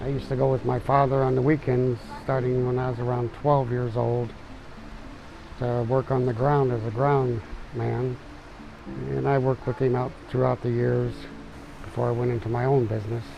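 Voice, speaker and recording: Over music in the background, a man with a US Midwestern accent speaks in a monotone, flat way, leaving long, frequent pauses. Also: medium pitch for a man, moderate pace. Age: 60s. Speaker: tree service business owner. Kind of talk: documentary interview.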